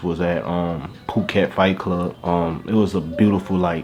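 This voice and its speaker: Through noticeable background noise, a man with a Southern US accent speaks at a very deep, low pitch. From Louisiana. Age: 20s. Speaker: YouTuber. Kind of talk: casual vlog monologue.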